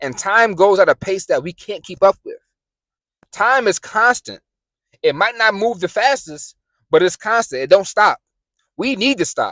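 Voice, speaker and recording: A passionate tone in a New York accent, with long, frequent pauses. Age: 20s. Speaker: motivational YouTuber. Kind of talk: motivational talk to camera. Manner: fast; passionate, some stuttering.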